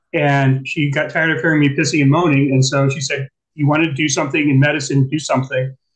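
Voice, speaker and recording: A man with an American accent talks at a fairly quick pace in a fairly high pitch. His delivery is somewhat breathy, with monotone, flat intonation. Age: 60s. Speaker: guest. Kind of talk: casual chat. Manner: halting.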